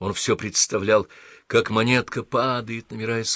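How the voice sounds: The speaker uses a natural reading voice.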